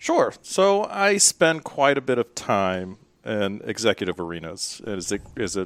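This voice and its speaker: The speaker has a Tennessee accent. The sound is dry and close with no echo, on a very clean recording with a silent background. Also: man. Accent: Southern US (Tennessee). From US South, Memphis, Tennessee. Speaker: nurse anesthetist, healthcare executive. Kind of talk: podcast interview. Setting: recorded at a conference.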